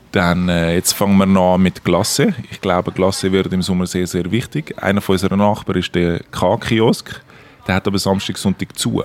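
The man's voice is very deep and low in pitch. His intonation is fairly even, and he keeps a moderate pace. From Switzerland, Zurich. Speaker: cafe owner. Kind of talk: interview. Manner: halting.

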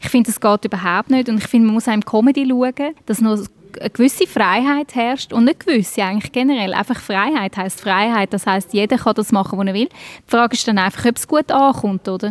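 Her voice is an unremarkable speaking voice, fairly high for a woman, moving at a fairly quick pace with ordinary pitch variation in a dry, close sound with no echo. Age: 40s. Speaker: stand-up comedian. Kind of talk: interview.

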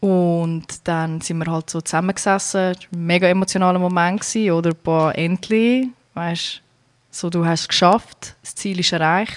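A woman in a Zurich accent at a moderate pace, fairly low in pitch, with fairly even intonation and big swings in loudness. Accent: Zurich Swiss German. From Zurich, Switzerland. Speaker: emigrant, wrestler's wife. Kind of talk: casual interview.

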